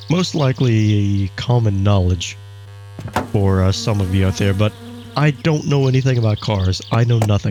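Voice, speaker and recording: Quiet and of very even loudness, a man with a fairly low pitch speaks at a moderate pace with ordinary pitch variation over noticeable background noise. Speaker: YouTube gamer. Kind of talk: let's play commentary. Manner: quieter and careful.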